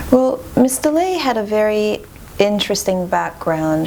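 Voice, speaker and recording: A woman with a French accent speaks at a moderate pace and medium pitch. Her intonation is lively, and background noise is noticeable. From Montreal, Quebec. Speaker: classical violinist. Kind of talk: interview.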